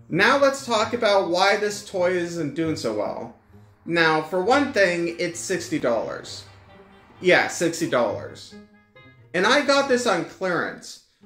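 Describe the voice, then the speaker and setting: Very slow speech with audible room echo and faint music in the background. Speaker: toy reviewer. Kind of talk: casual review talk. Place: home room.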